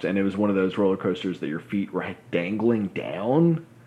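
A man's voice is very deep and low, moving at a moderate pace. There is noticeable background noise. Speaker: podcast co-host. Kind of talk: casual chat.

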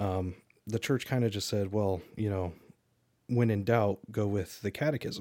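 This man has an unremarkable speaking voice, fairly low in pitch, with fairly even intonation. He keeps a moderate pace in a very clean recording with a silent background. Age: 20s. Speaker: podcast co-host. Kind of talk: casual chat.

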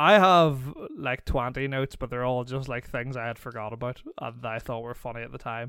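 In a Northern Irish accent, a man speaks at a fairly quick pace and a medium pitch, with a bright, sharp tone and ordinary pitch variation, on a very clean recording with a silent background. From Northern Ireland. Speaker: podcast guest. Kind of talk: casual chat.

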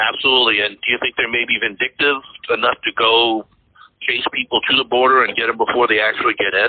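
A man's medium-pitched voice with an American accent, very fast and monotone with flat intonation. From Massachusetts. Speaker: podcast host. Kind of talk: casual chat.

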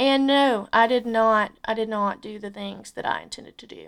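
A woman with an Alabama accent, fairly high and bright, sharp in tone, fairly even in intonation, on a very clean recording with a silent background. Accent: Southern US (Alabama). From US South, Alabama. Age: 20s. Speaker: podcast host. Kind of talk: casual solo podcast monologue. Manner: casual, filler-heavy.

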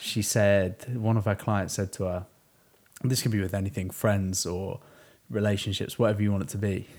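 Speaking in a British accent at a fairly low pitch, a man keeps a moderate pace and fairly even intonation in a very clean recording with a silent background. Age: 20s. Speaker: podcast host. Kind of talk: casual chat. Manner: laughs often.

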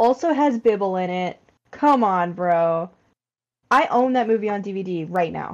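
With a quiet background, a woman speaks at a fairly slow pace and a fairly high pitch in an unremarkable speaking voice. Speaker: podcast host. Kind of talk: casual chat.

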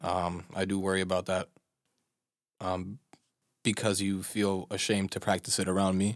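A man with a Chicago accent speaks at a moderate pace in a very deep, low pitch, his intonation monotone and flat. Long, frequent pauses break his speech, and the recording is very clean with a silent background. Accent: American, Chicago. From US Midwest, Chicago. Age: 20s. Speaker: podcast co-host. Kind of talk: casual chat. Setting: studio.

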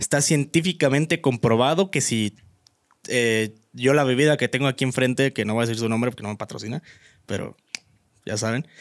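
In a Mexican accent, a man speaks fairly quickly at a medium pitch with ordinary pitch variation, captured dry and close with no echo on a very clean recording with a silent background. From Mexico. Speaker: podcast co-host, law student. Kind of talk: casual chat.

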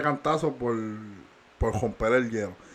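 His pitch varies in an ordinary way as this man talks at a moderate pace. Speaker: podcast co-host. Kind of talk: casual chat.

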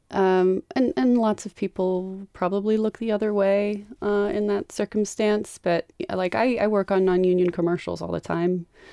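The speaker keeps a moderate pace with hardly any pauses, in a dark, mellow tone. Intonation is fairly even, and the sound is dry and close with no echo. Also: woman, medium pitch for a woman. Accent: American. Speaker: film camera assistant. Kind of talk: interview. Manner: hesitant, many fillers.

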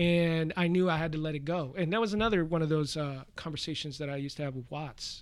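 A man with an unremarkable speaking voice talks at a fairly quick pace and a fairly high pitch. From Washington, D.C. (Air Force brat, also Central America). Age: 40s. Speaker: fighting game community organizer and host. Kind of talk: casual chat. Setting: podcast recording.

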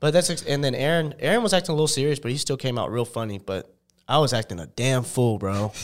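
The recording is very clean, with a silent background. A man speaks at a very fast pace in a medium pitch with lively intonation. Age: 20s. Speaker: content creator. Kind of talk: casual chat.

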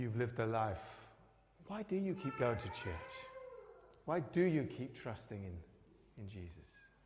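A man speaks with long, frequent pauses, very wide pitch swings and big swings in loudness. Audible room echo surrounds the recording. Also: medium pitch for a man, moderate pace. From northern England, Newcastle. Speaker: pastor. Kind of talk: sermon. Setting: church.

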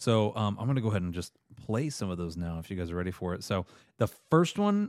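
A dry, close sound with no echo on a very clean recording with a silent background. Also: man. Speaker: movie podcast host. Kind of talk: casual chat. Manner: fast.

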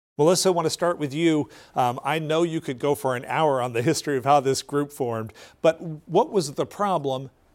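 Here is a man with an unremarkable speaking voice, fairly high in pitch, talking at a fairly quick pace. His pitch variation is ordinary, and the recording is very clean with a silent background. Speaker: public TV news host. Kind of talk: hosting a panel discussion. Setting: TV studio.

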